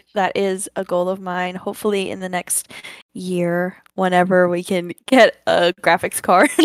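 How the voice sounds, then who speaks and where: A woman with a plain, everyday voice speaks at a medium pitch and a fairly slow pace. Her intonation is fairly even, and the sound is dry and close with no echo. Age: 20s. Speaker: worship leader and gamer. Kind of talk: casual chat.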